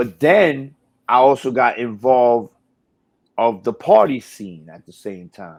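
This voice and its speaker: Very slowly and with long, frequent pauses, a man with a New York accent and medium pitch speaks with big swings in loudness. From New York, Brooklyn. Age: 40s. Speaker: radio DJ and personality. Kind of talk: casual interview chat.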